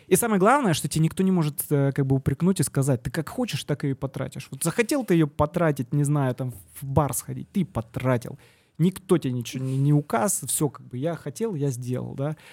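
A man's fairly high voice at a fairly quick pace, with ordinary pitch variation, in a very clean recording with a silent background and a dry, close sound with no echo. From southern Russia, Yeysk. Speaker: venture capital investor. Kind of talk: casual interview. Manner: hesitant, many fillers.

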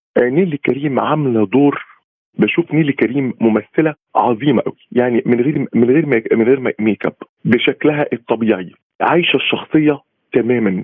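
At a moderate pace, a man speaks in a plain, everyday voice, fairly high in pitch, with lively intonation. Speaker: art critic. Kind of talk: remote interview.

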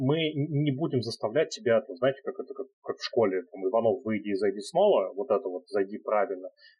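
At a fairly quick pace, a man speaks in a somewhat breathy voice of medium pitch with lively intonation. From Russia, Nizhny Novgorod. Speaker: head of customer support. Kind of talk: casual interview.

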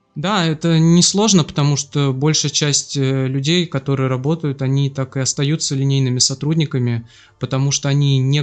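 With a plain, everyday voice, a man speaks at a moderate pace, fairly high in pitch, with fairly even intonation. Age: 30s. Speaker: bank department head. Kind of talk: casual interview. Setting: guest's kitchen.

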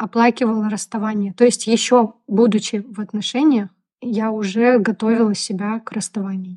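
A woman with a fairly high pitch speaks at a moderate pace in a monotone, flat intonation. Her dark, mellow voice is somewhat breathy, and the sound is dry and close with no echo. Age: 30s. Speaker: podcast co-host. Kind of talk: casual chat.

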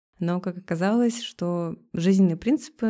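A woman speaks in a dark, mellow tone with ordinary pitch variation. The recording is very clean with a silent background. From Russian Far East. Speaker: cafe co-owner. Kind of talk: casual interview chat. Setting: studio with microphones. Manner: animated, colloquial.

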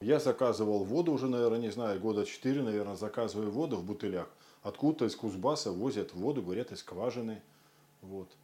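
A man's dark, mellow voice at a very fast pace with ordinary pitch variation. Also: medium pitch for a man. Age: 50s. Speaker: photographer. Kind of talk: testimonial.

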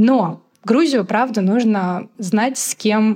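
A woman talks in an ordinary speaking voice. Her pitch is medium, with ordinary pitch variation. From Moscow, Russia. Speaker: magazine editor and travel blogger. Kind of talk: casual interview conversation.

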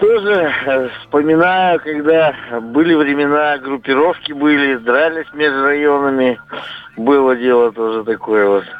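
Over noticeable background noise, a man with a fairly high-pitched voice speaks at a fairly slow pace. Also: ordinary pitch variation, very even loudness. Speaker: radio caller. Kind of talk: phone-in storytelling. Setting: phone call.

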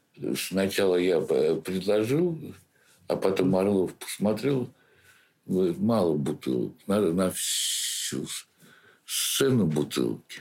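This man speaks at a very slow pace with long, frequent pauses, his fairly low voice carrying lively intonation. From St. Petersburg, Russia. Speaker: theatre director. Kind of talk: interview. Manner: halting.

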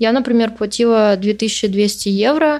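A woman speaks in a fairly high voice. Her pace is very slow. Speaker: podcaster who emigrated to Spain. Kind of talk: interview. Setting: remote call.

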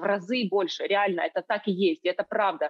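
At a moderate pace, a woman speaks in a normal speaking voice at a medium pitch. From Ukraine, Kyiv. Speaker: entrepreneur and online school producer. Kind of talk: interview conversation. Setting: video call.

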